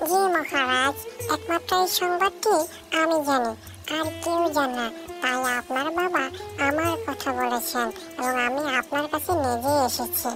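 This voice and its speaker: Over clear music in the background, a cartoonish character voice speaks at high pitch and a moderate pace. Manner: gentle, addresses others as friend.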